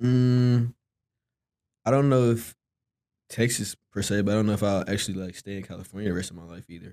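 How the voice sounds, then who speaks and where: With a dark, mellow tone and ordinary pitch variation, the speaker goes at a fairly quick pace broken by long, frequent pauses, on a very clean recording with a silent background. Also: man, fairly low pitch for a man. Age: 20s. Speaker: podcast guest, young man raised by single mother. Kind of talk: casual interview.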